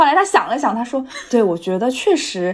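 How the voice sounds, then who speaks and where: Her pitch is high for a woman. This woman talks at a fairly quick pace. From Shanghai, China. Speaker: podcast host. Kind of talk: casual chat.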